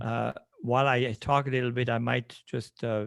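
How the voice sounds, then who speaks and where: Against a quiet background, a man with a Swiss French accent keeps a fairly even intonation. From French-speaking western Switzerland. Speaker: landscape designer. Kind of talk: presentation over video call. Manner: halting.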